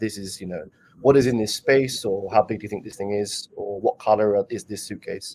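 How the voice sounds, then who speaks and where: Speaking fairly quickly, a man with a British accent has a medium pitch and a dark, mellow tone. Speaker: conference speaker, developer relations lead. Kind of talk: Q&A after a conference talk.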